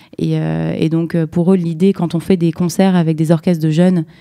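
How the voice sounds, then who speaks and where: Over a quiet background, a woman speaks at a moderate pace in a dark, mellow tone, fairly low in pitch and with monotone, flat intonation. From southern France, Nice; France. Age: young. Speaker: startup co-founder; guest. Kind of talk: interview. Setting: studio. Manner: halting. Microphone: far from the mic; studio mic.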